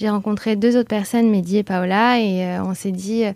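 A woman with a normal speaking voice, fairly high in pitch, with fairly even intonation. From France, Bordeaux. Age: 30s. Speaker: association co-founder. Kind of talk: interview.

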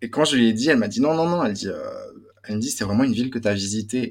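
The speaker has a slight Belgian accent. Pitch variation is ordinary. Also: man. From Belgium. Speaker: student and music industry worker. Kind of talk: casual chat.

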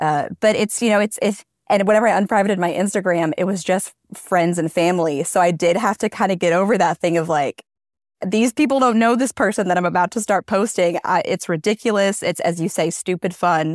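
A woman with a normal speaking voice at medium pitch, ordinary pitch variation, a fairly quick pace and very even loudness, dry and close with no echo on a very clean recording with a silent background. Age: 30s. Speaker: content creator and mom. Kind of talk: casual chat.

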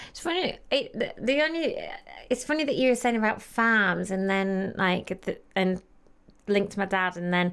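A woman talks at a fairly slow pace in a normal speaking voice of medium pitch. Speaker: model and podcast presenter. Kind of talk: casual chat.

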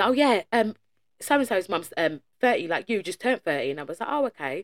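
A woman speaks with an English accent at a fairly quick pace, her pitch swinging very widely. The sound is dry and close, with no echo. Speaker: podcast co-host. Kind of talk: casual chat.

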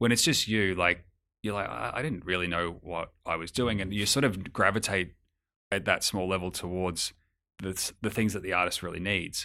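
Heard on a very clean recording with a silent background, a man with an Australian accent speaks at a moderate pace in a very deep, low voice with a bright, sharp tone and ordinary pitch variation. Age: 30s. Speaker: music executive. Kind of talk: interview. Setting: office.

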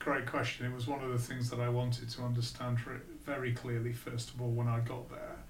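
A man with a Lancashire accent, medium in pitch and fairly quick, with audible room echo and noticeable background noise. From northern England, Blackpool. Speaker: business executive. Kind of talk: interview.

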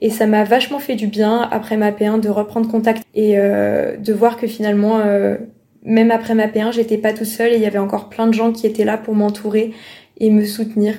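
With a fairly high pitch and a dark, mellow tone, a woman speaks at a moderate pace in a flat monotone. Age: young. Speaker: medical student. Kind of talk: casual chat.

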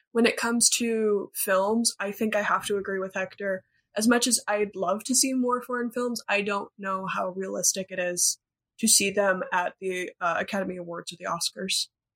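A woman with a normal speaking voice and an American accent talks at a moderate pace and medium pitch. Her intonation is fairly even, and the sound is dry and close with no echo. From United States. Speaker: film podcaster. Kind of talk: casual chat.

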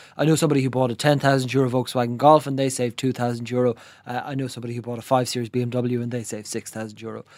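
The words come at a very fast pace in a flat, monotone delivery. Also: man, medium pitch for a man. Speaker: business journalist. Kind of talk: news discussion. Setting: studio. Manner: quiet.

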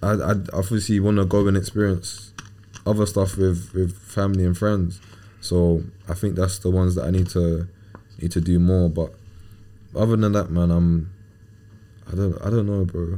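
A man's very deep, low voice in a dark, mellow tone, monotone and flat, at a moderate pace with very even loudness and long, frequent pauses. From England. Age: 20s. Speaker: professional footballer. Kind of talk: casual interview.

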